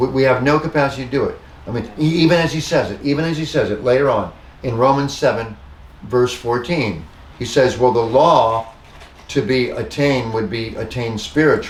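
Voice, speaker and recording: Over noticeable background noise and audible room echo, a man at medium pitch talks at a fairly quick pace with ordinary pitch variation. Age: 60s. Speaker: pastor. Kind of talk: bible study discussion. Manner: halting.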